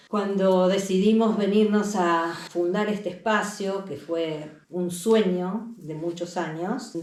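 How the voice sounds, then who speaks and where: A woman with a fairly low pitch talks while noticeable background noise is present. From Argentina, Buenos Aires. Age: 60s. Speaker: holistic healing center facilitator. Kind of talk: interview.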